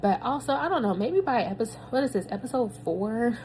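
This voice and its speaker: Over noticeable background noise, a woman speaks fairly quickly at a fairly high pitch that swings very widely. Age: 30s. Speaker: podcaster, new doctoral graduate. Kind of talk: personal audio journal, casual reflection. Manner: casual, filler-heavy.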